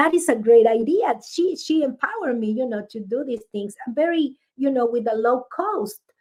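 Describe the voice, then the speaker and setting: A woman's high-pitched voice with a strong Spanish accent, lively intonation and a moderate pace. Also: hardly any pauses. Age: 50s. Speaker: author. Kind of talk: interview conversation. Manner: halting.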